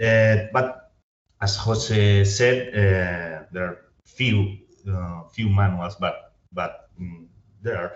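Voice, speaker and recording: A man's somewhat breathy, fairly low voice with a non-native accent, very slow pace and fairly even intonation. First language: Spanish. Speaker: historian. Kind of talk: academic Q&A. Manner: halting.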